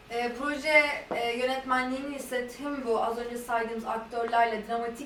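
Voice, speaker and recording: A woman's high voice at a very fast pace, monotone and flat, with audible room echo and noticeable background noise. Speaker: interpreter. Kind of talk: consecutive interpreting.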